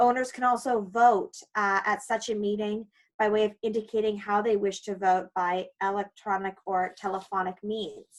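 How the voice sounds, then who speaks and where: In a Canadian accent, a woman of medium pitch speaks at a moderate pace in a monotone, flat intonation with hardly any pauses. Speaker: condo lawyer. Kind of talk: webinar presentation.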